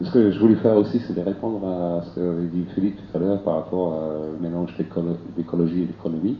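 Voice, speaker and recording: A man with an English accent speaks in a very deep, low pitch. His pace is fairly quick, with hardly any pauses. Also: ordinary pitch variation. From England. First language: English (speaking French). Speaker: participant living in a tipi. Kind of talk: public debate discussion.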